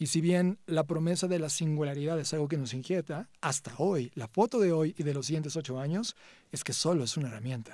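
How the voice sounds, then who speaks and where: A fairly high-pitched man in a plain, everyday voice, moderate pace and ordinary pitch variation, on a very clean recording with a silent background. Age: 40s. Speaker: tech CEO and conference speaker. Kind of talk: interview.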